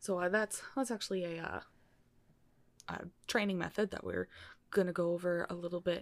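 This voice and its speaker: Heard in a very clean recording with a silent background, a woman with a plain, everyday voice speaks with fairly even intonation. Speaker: podcast host. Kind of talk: casual chat.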